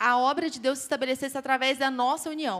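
A woman talks at a very fast pace in a high pitch. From interior of Goiás, Brazil. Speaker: lay preacher speaking with her husband. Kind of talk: sermon.

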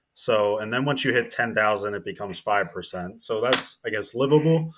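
A man with an American accent speaks in a bright, sharp tone at a moderate pace with ordinary pitch variation, in a very clean recording with a silent background. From New Jersey. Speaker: marketing operations consultant. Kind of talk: casual interview.

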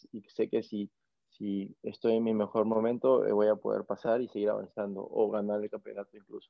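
This man's fairly low voice moves at a moderate pace in a monotone, flat intonation. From Peru, northern coast (Máncora). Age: 20s. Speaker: professional surfer. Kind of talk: interview conversation. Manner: halting, many fillers and repetitions.

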